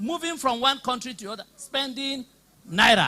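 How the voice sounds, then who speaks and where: Raising and projecting his voice, a man with an extremely high pitch speaks at a moderate pace in an animated tone with lively intonation. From Nigeria. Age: 60s. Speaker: politician and former teacher. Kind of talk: public debate speech. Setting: hall with live audience.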